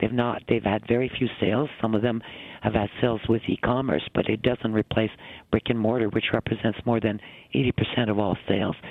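A man with a normal speaking voice talks at a moderate pace and medium pitch, with fairly even intonation. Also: very even loudness. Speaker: retail industry executive. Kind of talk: radio interview.

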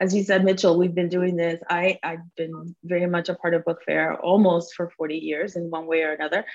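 A fairly low-pitched woman with a Spanish accent, fairly quick and monotone, flat in intonation, with hardly any pauses. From Cuba, raised in Miami. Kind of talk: casual interview.

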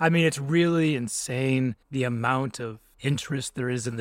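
A man speaks at a fairly slow pace in an unremarkable speaking voice, medium in pitch, with fairly even intonation. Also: dry, close sound with no echo. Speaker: podcast host, sports reporter. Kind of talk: casual sports podcast chat.

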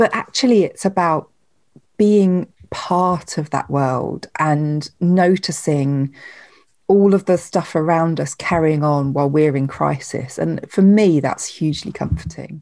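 A woman's very deep, low voice at a fairly slow pace, on a very clean recording with a silent background. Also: ordinary pitch variation. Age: 40s. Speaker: author. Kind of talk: interview.

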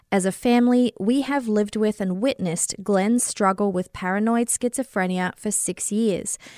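Recorded very cleanly with a silent background and a dry, close sound with no echo, a woman with an Australian accent speaks at a fairly high pitch and a moderate pace with fairly even intonation. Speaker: podcaster. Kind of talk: casual true crime discussion.

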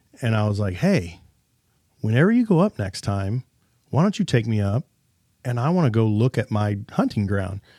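A man with an American accent and a medium pitch speaks in a dark, mellow tone with long, frequent pauses, in a very clean recording with a silent background and a dry, close sound with no echo. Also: lively intonation, moderate pace. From Kansas. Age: 40s. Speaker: gun shop owner. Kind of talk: casual chat. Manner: halting.

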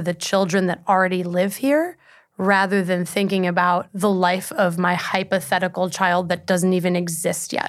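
On a very clean recording with a silent background, a woman with an unremarkable speaking voice talks at a medium pitch with fairly even intonation. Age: 20s. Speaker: climate change journalist. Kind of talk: casual interview.

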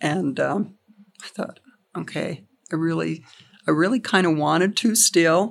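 With vocal fry and a fairly low pitch, a woman speaks at a fairly slow pace, pausing long and often, with ordinary pitch variation. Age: 70s. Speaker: county election official. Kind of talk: interview. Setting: her office.

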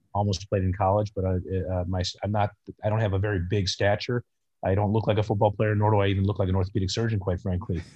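Very fast and somewhat breathy, a man speaks at a fairly low pitch with an American accent and monotone, flat intonation. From Chicago northern suburbs. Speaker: orthopedic surgeon. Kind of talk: interview.

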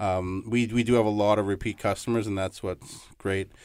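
A man with a Canadian accent speaks in an ordinary speaking voice, fairly low in pitch, at a fairly quick pace. His intonation is fairly even, on a very clean recording with a silent background. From Toronto, Ontario, Canada. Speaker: restaurant manager. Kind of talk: radio interview. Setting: studio.

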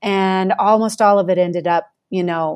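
With an American accent, a woman uses an ordinary speaking voice at medium pitch. She talks at a fairly slow pace with ordinary pitch variation. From Colorado. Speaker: public radio reporter and podcast host. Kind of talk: interview.

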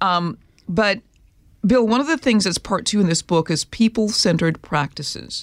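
A woman talks at a moderate pace in an ordinary speaking voice, with a medium pitch, lively intonation and an American accent, her loudness very even and the sound dry and close with no echo on a very clean recording with a silent background. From Minnesota. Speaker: podcast host and religion correspondent. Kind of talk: interview.

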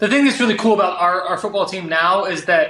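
The voice is raised and projected, moving at a very fast pace over noticeable background noise. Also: man. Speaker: podcast co-host, former college basketball player. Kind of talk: casual chat.

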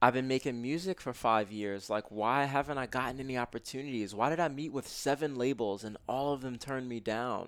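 In a normal speaking voice with ordinary pitch variation, the speaker moves at a fairly quick pace with hardly any pauses, in a very clean recording with a silent background. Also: man, medium pitch for a man. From US Northeast (Brooklyn, New York). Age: 20s. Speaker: self-development author and meditation teacher. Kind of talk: casual interview.

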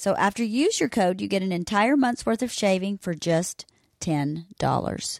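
A woman at medium pitch speaks at a moderate pace with lively intonation in an unremarkable speaking voice, the sound dry and close with no echo. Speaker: ad reader (host's wife). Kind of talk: sales pitch.

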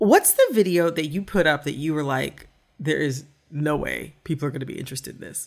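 A woman with an American accent speaks at a very deep, low pitch with vocal fry, ordinary pitch variation, and big swings in loudness. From Michigan. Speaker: podcast host. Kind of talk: interview.

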